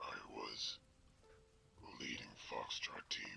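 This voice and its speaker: Music plays in the background as a man whispers in a put-on character voice. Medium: audio drama. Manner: volatile, raw.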